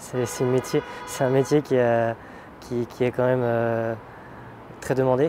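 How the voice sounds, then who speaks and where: A man talks with long, frequent pauses against noticeable background noise. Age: 20s. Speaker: roofer. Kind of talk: interview. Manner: halting, many hesitations.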